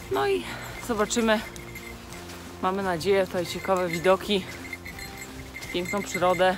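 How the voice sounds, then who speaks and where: With clear music in the background and a dry sound with no echo, a woman speaks at a moderate pace with ordinary pitch variation. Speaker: travel vlogger. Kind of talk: casual vlog chat. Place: forest. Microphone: phone near.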